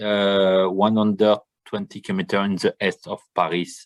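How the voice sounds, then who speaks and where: A man with a French accent and a fairly low pitch speaks at a fairly slow pace, the sound dry and close with no echo. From France, Champagne region. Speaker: winemaker. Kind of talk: online tasting presentation. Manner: halting.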